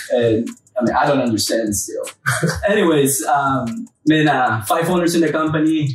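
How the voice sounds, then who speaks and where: A man with a Peruvian accent speaks at a fairly high pitch with lively intonation. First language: Spanish. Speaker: roofing company co-owner. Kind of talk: casual chat. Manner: animated.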